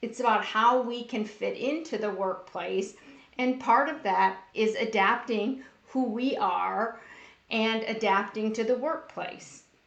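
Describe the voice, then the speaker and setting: There is audible room echo as a woman with a fairly high voice speaks with ordinary pitch variation. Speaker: workplace bullying educator. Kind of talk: live-streamed talk. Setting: Facebook Live stream. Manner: loud.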